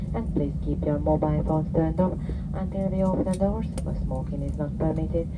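Speech at a fairly quick pace comes through loud background noise. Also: woman. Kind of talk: in-flight announcement. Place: plane.

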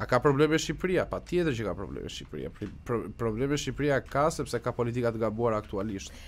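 A man's very fast speech, edged with vocal fry. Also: lively intonation, hardly any pauses. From Albania, Korçë; Albania. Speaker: Albanian emigrant commentator in US media. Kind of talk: radio interview. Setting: radio studio. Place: studio. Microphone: studio mic.

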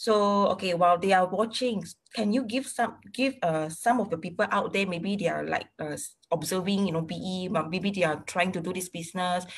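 Against a quiet background, a woman speaks in a somewhat breathy voice at a moderate pace with ordinary pitch variation. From Malaysia. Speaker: interviewer. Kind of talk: casual interview. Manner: code-switching between English and Malay. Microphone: video call.

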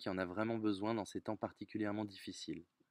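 A man talks very fast at a fairly low pitch with fairly even intonation. The sound is dry with no echo, over a quiet background. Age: 30s. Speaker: volunteer donor. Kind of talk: testimony. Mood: earnest, reflective. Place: garden. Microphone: phone near.

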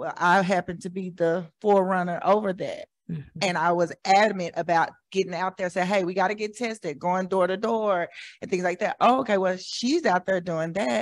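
A woman with an American accent speaks at a moderate pace with ordinary pitch variation over a quiet background. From Oklahoma City. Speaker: community partner. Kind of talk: audience comment. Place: hall.

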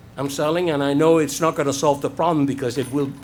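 Very fast speech from a man with a fairly high pitch and fairly even intonation, against noticeable background noise. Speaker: resident speaking at public comment. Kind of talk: public comment at city meeting. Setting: city commission chamber.

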